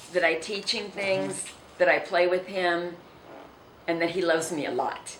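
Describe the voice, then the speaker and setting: A woman's fairly low voice with an American accent, flat and monotone at a moderate pace, with long, frequent pauses, noticeable background noise and audible room echo. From southern California. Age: 70s. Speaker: city mayor. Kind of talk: interview.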